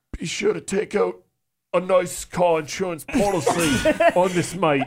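With a British accent, a man puts on a raspy, high-pitched character voice at a moderate pace.

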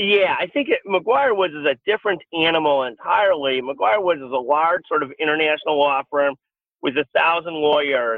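At a moderate pace, a man talks with ordinary pitch variation and a fairly high pitch. His is an ordinary speaking voice. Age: 50s. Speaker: healthcare lawyer and media publisher. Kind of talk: interview.

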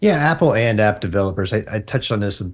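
Somewhat breathy speech at a fairly quick pace, in a very clean recording with a silent background. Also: man. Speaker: tech journalist. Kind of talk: casual chat.

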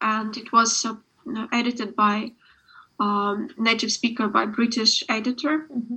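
Fairly slow speech with a Ukrainian accent comes in a monotone, flat intonation. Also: woman. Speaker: author. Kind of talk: interview. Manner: halting.

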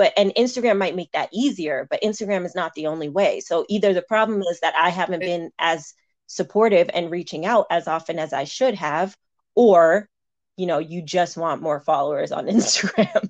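A woman speaks in a normal speaking voice at a moderate pace, her fairly low pitch moving with ordinary variation against a quiet background. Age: 30s. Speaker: university staff member. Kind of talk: casual chat.

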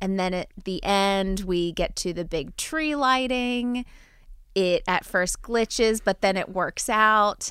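In a very clean recording with a silent background, a woman with a slight New Jersey accent speaks at a very slow pace in a bright, sharp tone with ordinary pitch variation. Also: medium pitch for a woman. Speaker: podcast host. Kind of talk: casual chat.

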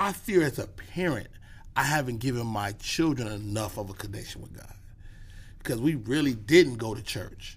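Delivered at a moderate pace, the somewhat breathy voice has an animated tone and lively intonation, with audible room echo. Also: man, medium pitch for a man, big swings in loudness. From Chicago. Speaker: comedian. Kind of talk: casual chat. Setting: studio.

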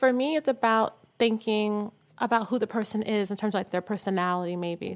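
Over a silent background on a very clean recording, a woman talks fairly quickly at medium pitch with ordinary pitch variation. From Harlem, New York. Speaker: visual artist. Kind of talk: casual chat.

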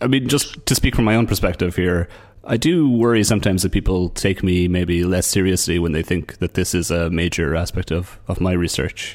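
A man's very deep, low voice at a fairly quick pace, with ordinary pitch variation and hardly any pauses. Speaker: podcast host. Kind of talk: interview.

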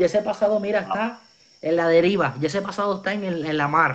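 With a Puerto Rican accent, a man talks at a fairly quick pace. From Puerto Rico. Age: 20s. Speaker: evangelist. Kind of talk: testimony. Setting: video call.

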